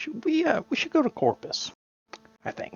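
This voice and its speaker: Put-on character voice at a moderate pace, pitched high. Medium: actual play. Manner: fidgety.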